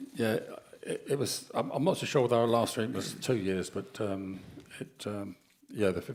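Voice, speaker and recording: Medium pitch, a moderate pace and ordinary pitch variation from a man with a normal speaking voice. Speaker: board meeting chair. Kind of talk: formal meeting.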